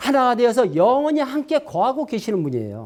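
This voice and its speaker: On a very clean recording with a silent background, a man talks in an animated tone. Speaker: pastor. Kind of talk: sermon. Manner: fast.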